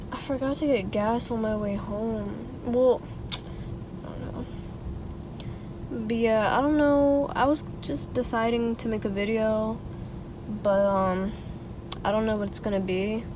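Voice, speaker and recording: With audible room echo, a woman talks at a fairly slow pace in a fairly high pitch, showing ordinary pitch variation and long, frequent pauses. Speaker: lifestyle vlogger. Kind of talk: casual vlog chat. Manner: casual, filler-heavy; soft-spoken, quiet.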